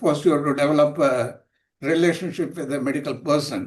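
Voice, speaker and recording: A man is speaking. He has an Indian accent. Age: 80s+. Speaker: retired railway officer and healthcare advocate. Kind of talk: Q&A comment in online talk. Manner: halting.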